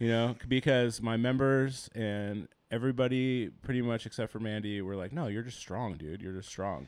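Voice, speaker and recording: A man speaks in a normal speaking voice at medium pitch and a moderate pace, with hardly any pauses. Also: ordinary pitch variation. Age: 30s. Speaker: podcast co-host, gym owner and coach. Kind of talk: casual chat.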